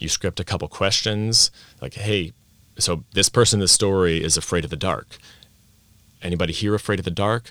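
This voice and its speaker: A man with an American accent speaks at a fairly quick pace in a very deep, low voice, leaving long, frequent pauses, on a very clean recording with a silent background. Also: ordinary pitch variation. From Vienna, Austria (American parents). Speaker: language teacher and teacher coach. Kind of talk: interview at a conference. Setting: conference venue.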